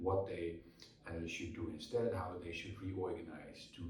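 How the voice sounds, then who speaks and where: Man with a Dutch accent, heard with audible room echo. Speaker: keynote speaker and author. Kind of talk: interview. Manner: hesitant with fillers and repetitions.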